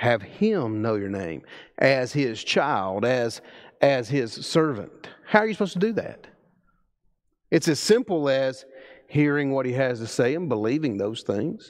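With a Southern US accent, a man talks at a fairly slow pace with very wide pitch swings over a quiet background. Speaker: preacher. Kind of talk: sermon. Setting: church. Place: church.

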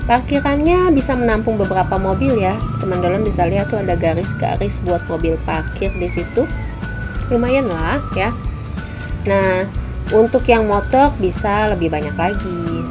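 Clear background music and a moderate pace. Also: woman. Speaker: food vlogger. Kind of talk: casual vlog tour commentary. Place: street. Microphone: phone near.

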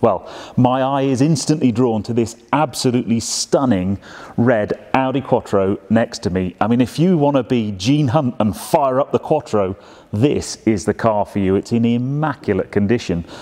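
A man's pitch varies in an ordinary way as he speaks at a moderate pace. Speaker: presenter. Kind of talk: presenter commentary. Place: shop.

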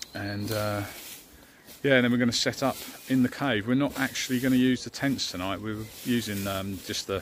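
A man talks at a moderate pace with fairly even intonation. The sound is dry with no echo, over light background noise. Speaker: camping vlogger. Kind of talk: casual vlog chat. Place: forest. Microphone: phone near.

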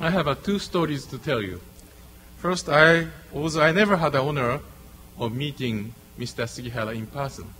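A man with a Japanese accent speaks at a moderate pace in a fairly high pitch, his tone bright and sharp, with long, frequent pauses. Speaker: diplomat. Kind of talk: formal speech. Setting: stage with audience. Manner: halting. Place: hall. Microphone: podium.

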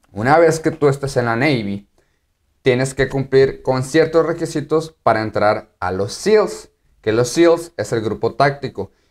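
A man talks with a Mexican accent at a fairly slow pace. His intonation is lively. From Mexico. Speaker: YouTuber and active-duty Marine; YouTuber. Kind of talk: casual vlog explainer. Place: home room.

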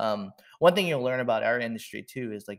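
A man speaks in a dry, close recording with no echo. The recording is very clean, with a silent background. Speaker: marketing executive. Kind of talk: interview.

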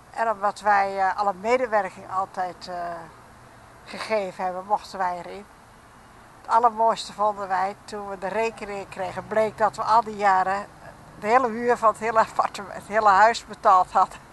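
Light background noise sits under a woman speaking at a moderate pace and medium pitch. Her intonation is monotone and flat, and the sound is dry with no echo. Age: 80s+. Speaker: local resident interviewed on the street. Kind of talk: casual street interview. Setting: outdoors on the street. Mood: cheerful, smiling storytelling. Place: station. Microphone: handheld.

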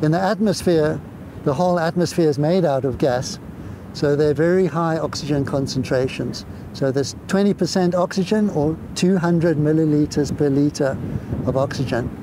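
Man at a moderate pace with ordinary pitch variation, dry sound with no echo, noticeable background noise. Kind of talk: interview answer. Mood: warm, enthusiastic. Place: beach. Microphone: lapel.

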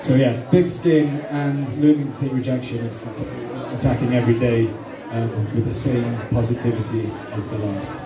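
Music sounds in the background. Over it, a man talks at a moderate pace. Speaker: actor answering fan questions. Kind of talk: Q&A panel answers. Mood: relaxed, friendly, laughing. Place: hall.

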